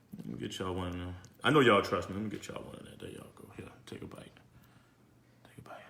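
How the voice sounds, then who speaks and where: A man whispering at a very fast pace, with long, frequent pauses and audible room echo. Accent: New Orleans. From New Orleans, Louisiana. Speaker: chef, cooking show host. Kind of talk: live cooking show. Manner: animated.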